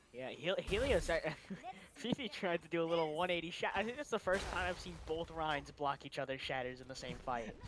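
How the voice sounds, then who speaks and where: Talking at a fairly quick pace, a man uses lively intonation at a high pitch. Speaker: esports caster. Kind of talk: live commentary.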